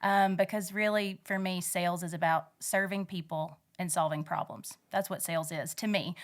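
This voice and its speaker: With a Southern US accent, a woman talks at a moderate pace and medium pitch in a monotone, flat intonation, with hardly any pauses, on a very clean recording with a silent background. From Alabama, US South. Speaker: ranch wife and saleswoman, podcast host. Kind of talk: interview conversation. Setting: in-person interview. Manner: halting, many fillers.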